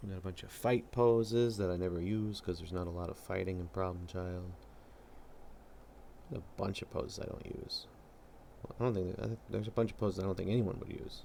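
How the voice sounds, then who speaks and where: The speech moves at a very fast pace, broken by long, frequent pauses. Noticeable background noise runs underneath. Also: man, very deep, low pitch for a man, ordinary pitch variation. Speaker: comic artist streamer. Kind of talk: casual live stream commentary while drawing. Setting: live stream. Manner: casual, thinking aloud with fillers.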